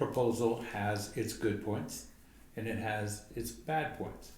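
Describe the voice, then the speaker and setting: Amid audible room echo, a man with an American accent speaks very slowly at a fairly low pitch. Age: 70s. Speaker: home builders association member. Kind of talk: interview.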